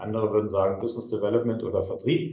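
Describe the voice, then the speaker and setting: A somewhat breathy man's voice of medium pitch, with a dark, mellow tone and audible room echo. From Germany, Kassel (northern Hesse). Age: 40s. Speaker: entrepreneur. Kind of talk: interview.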